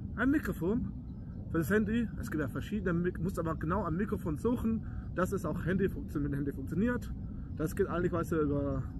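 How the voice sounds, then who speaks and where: A man talks at a fairly quick pace with ordinary pitch variation, in a dry recording with no echo and noticeable background noise. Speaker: car vlogger. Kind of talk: casual vlog chat. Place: open country. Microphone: lapel.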